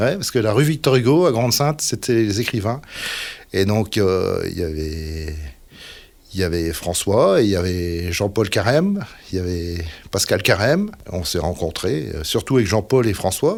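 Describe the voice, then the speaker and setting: A man talks at a fairly slow pace with a fairly low pitch and lively intonation. The recording is very clean, with a silent background. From northern France, Dunkirk area (Nord). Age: 60s. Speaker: musician. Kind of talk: casual interview chat. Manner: halting, many fillers.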